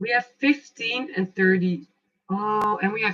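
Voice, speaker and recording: A woman with a non-native accent speaks at a fairly slow pace, her pitch varying in an ordinary way. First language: not English. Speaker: tarot and oracle card reader. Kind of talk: live oracle card reading. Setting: livestream. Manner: casual, animated.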